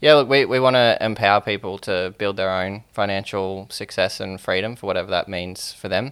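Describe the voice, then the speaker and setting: A man speaks with an Australian accent at a fairly low pitch. His pace is fairly quick and his pitch variation ordinary. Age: 20s. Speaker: startup founder. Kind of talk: interview.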